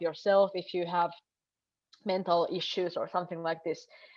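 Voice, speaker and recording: This woman speaks at a medium pitch with a Finnish accent. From northern Finland. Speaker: member of European Parliament. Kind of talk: panel discussion. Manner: halting.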